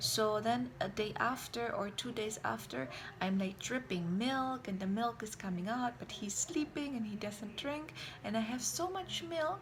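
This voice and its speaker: A woman with a German accent talks at a fairly slow pace in a fairly high pitch with lively intonation, amid audible room echo and noticeable background noise. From Germany. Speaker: vlogger, mother. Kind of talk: casual vlog talk.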